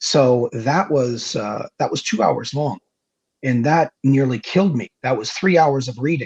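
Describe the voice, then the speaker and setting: In a dry, close recording with no echo, a man talks at a fairly slow pace, his fairly high, somewhat breathy voice showing ordinary pitch variation. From Canada. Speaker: horror story narrator. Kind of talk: interview. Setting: live stream interview.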